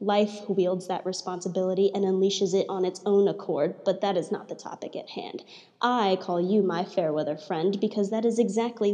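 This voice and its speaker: In a dark, mellow tone, a woman speaks at medium pitch and a moderate pace, her intonation fairly even. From southern Arizona. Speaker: poet. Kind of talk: reading aloud; casual chat.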